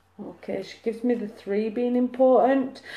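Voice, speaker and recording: A woman with a Lancashire accent, at a fairly slow pace. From Lancashire, northern England. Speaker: psychic medium. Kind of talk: live mediumship reading. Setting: live video stream.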